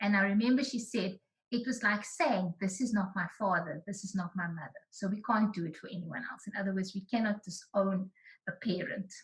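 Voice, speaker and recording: A woman speaks at a fairly quick pace, somewhat breathy. Her pitch is medium with ordinary variation. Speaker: researcher presenting findings. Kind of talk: online presentation.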